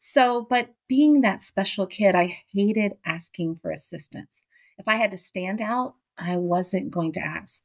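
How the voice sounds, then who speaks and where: A woman talks in a normal speaking voice at a medium pitch with ordinary pitch variation. Her pace is fairly slow, and the sound is dry and close with no echo. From Miami, Florida. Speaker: college professor and keynote speaker. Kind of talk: interview.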